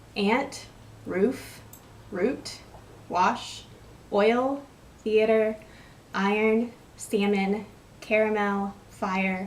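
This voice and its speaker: A woman's fairly even delivery in an American accent, with long, frequent pauses and audible room echo. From West Texas. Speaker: vlogger. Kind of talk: casual vlog, word list and questions. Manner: rambling and casual, with hesitations.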